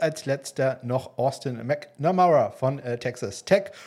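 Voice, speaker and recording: A man's very slow delivery with lively intonation. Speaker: football podcast host. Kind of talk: solo podcast monologue. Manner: frequent filler hesitations.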